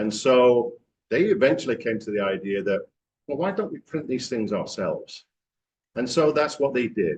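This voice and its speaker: With an English accent, a man talks at a moderate pace in a medium-pitched voice with lively intonation. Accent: English accent, noticeable. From England, Manchester. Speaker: franchise executive. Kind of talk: club talk presentation. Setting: club meeting with audience.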